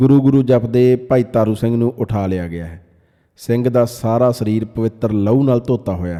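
Pitch moves in an ordinary way across this natural reading voice.

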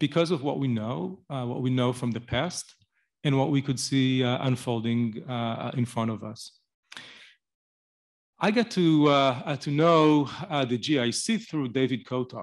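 It is quiet behind the man. He goes at a fairly slow pace, his pitch varying in an ordinary way. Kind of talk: speech at event. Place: hall. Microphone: podium.

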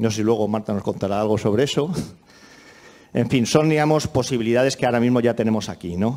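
Long, frequent pauses break up a man's fairly quick speech, which has a dark, mellow tone and ordinary pitch variation. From Spain, Madrid. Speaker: technology company director; speaker. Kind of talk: conference talk.

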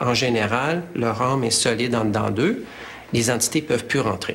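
This is a man talking. He moves at a moderate pace. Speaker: witness. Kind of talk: interview answer. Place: home room.

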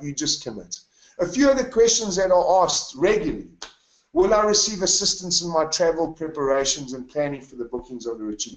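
With very wide pitch swings and big swings in loudness, a high-pitched man speaks at a fairly quick pace amid audible room echo. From South Africa, KwaZulu-Natal (Newcastle); KwaZulu-Natal, South Africa. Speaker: retreat leader. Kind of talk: webinar sales presentation. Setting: online webinar from home. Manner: animated. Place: home room. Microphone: webcam.

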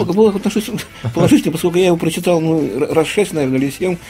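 With faint music behind him, a man talks at a very fast pace in a high pitch, varying it in an ordinary way. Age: 60s. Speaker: writer. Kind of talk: radio interview answer. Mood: calm, reflective. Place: studio.

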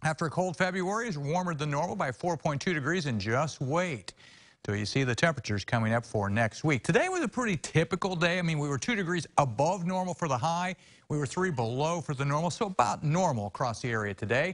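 Speech at a very fast pace swings very widely in pitch over a quiet background. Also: man. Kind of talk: weather forecast presentation. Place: studio. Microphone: lapel.

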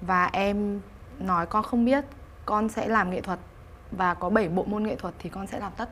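A woman's voice with fairly even intonation over light background noise. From Hanoi, northern Vietnam. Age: 30s. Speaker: painter. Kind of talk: interview. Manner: halting, with many fillers. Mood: warm, emotional storytelling. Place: studio. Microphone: lapel.

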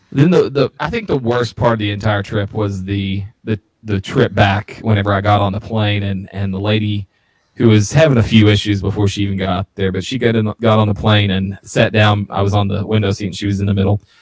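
The voice is somewhat breathy, with fairly even intonation. The pace is moderate. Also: man. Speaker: beer podcast co-host. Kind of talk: casual chat.

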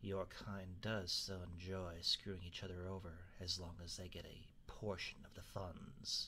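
A man's put-on character voice, very deep and low in pitch, over clear background noise. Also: moderate pace. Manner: sardonic, defiant.

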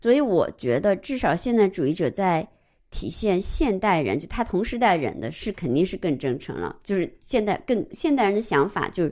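A woman with a dark, mellow tone and vocal fry swings her pitch very widely, recorded very cleanly against a silent background. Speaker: art historian. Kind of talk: casual discussion of a book.

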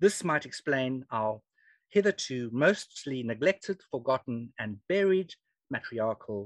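A man with a South African accent at a medium pitch, fairly slow, with very wide pitch swings and big swings in loudness, in a dry sound with no echo over a quiet background. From South Africa (Free State). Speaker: historian and genealogy speaker. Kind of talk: lecture. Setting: video call. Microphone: video call.

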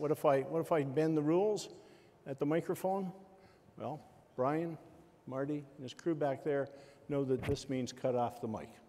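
Here a man speaks in a dark, mellow tone. His pitch variation is ordinary. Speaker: forum moderator. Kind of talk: moderator instructions to audience. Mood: relaxed, lightly humorous. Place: hall. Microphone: lapel.

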